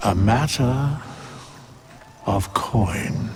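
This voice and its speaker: A man uses a put-on character voice at a medium pitch, with clear background noise behind him. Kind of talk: archaic formal speech. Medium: video game. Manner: slow, grave, enigmatic.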